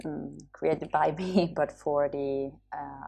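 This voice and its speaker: At a very slow pace, a woman speaks with an Italian accent. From Italy. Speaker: professor and dentist. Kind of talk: lecture. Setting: home recording for webinar. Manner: halting.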